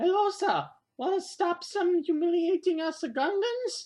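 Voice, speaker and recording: The pitch of this put-on character voice is extremely high. Its pace is moderate. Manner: menacing.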